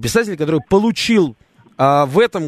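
A man's plain, everyday voice at a moderate pace, with lively intonation. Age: 30s. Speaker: radio host. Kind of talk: talk radio.

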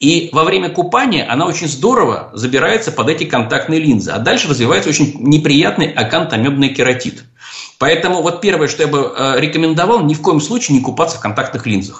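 Lively intonation at a fairly quick pace. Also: man. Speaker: ophthalmologist, professor. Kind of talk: radio call-in interview. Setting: radio studio.

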